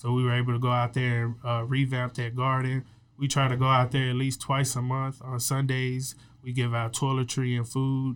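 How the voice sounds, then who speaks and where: A man's medium-pitched voice with an American accent, monotone, flat intonation, and a moderate pace. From Texas, Waco. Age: 20s. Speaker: youth mentoring founder and entrepreneur. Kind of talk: interview.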